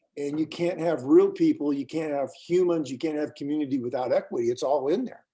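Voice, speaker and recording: Fairly high-pitched man with an American accent and a dark, mellow tone. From US. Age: 60s. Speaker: school board member and leadership coach. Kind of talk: interview conversation.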